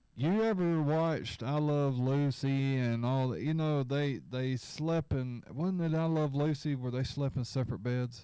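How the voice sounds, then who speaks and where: A man with a fairly high voice and a dark, mellow tone mumbles at a fairly slow pace, keeping his loudness very even, pausing hardly at all, and varying his pitch in an ordinary way. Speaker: livestream host. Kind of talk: casual chat. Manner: mumbling.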